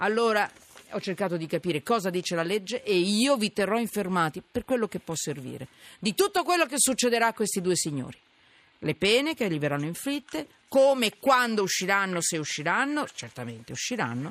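At a fairly quick pace, a man talks in a high pitch with very wide pitch swings. The sound is dry and close, with no echo. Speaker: radio host. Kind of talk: call-in radio talk. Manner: animated.

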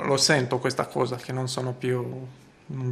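Noticeable background noise runs behind this recording. A man with a Romanian accent speaks at a medium pitch. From Romania, Bucharest. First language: Romanian (speaking Italian). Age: 30s. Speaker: supermarket manager. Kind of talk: interview testimony. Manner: halting.

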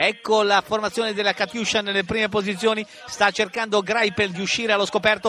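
A man's raised, projected voice, high in pitch and animated in tone, over noticeable background noise. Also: fairly quick pace. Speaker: radio sports commentator. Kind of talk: live race commentary, radio call of a cycling sprint finish. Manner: animated, urgent, accelerating into the sprint with repeated name shouts; fast, rapid-fire, with distances and positions called out breathlessly.

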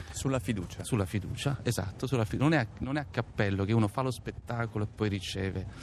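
At a very fast pace with hardly any pauses, a man speaks in a somewhat breathy, fairly low voice with ordinary pitch variation. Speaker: stage actor. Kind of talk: interview. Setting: outdoors in a town square.

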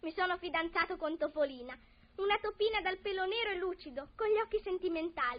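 A woman's extremely high voice at a fairly quick pace, with very wide pitch swings. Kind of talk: old-time radio play. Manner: animated, theatrical, excitable, comically melodramatic.

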